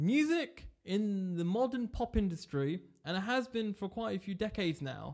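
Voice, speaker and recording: Speaking at a moderate pace in a British accent, a man with a high pitch sounds animated, his intonation lively, in a very clean recording with a silent background. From England. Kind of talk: casual chat. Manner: joking, animated.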